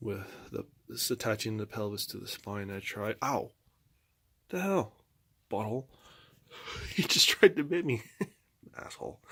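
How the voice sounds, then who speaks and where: Quiet and fairly low-pitched, a man talks at a moderate pace in a bright, sharp tone with vocal fry. His intonation is lively, broken by long, frequent pauses. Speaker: amateur artist vlogger. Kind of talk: casual chat. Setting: at home.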